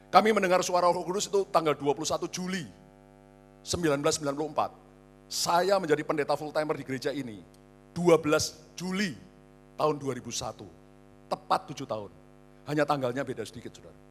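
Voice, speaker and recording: Music plays in the background while a man speaks at a very fast pace, broken by long, frequent pauses. His pitch is fairly high, with ordinary pitch variation. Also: big swings in loudness. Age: 60s. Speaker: pastor. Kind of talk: sermon. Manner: animated.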